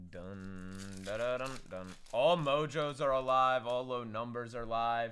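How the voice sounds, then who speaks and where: A man's fairly slow delivery with ordinary pitch variation, big swings in loudness and audible room echo. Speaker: card breaker streamer. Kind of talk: livestream pack opening. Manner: animated.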